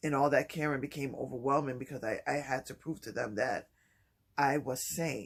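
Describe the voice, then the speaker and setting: Vocal fry runs through this man's fairly high-pitched speech. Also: moderate pace. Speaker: vlogger sharing mental health experience. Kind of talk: personal vlog monologue. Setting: early morning home video shoot. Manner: halting.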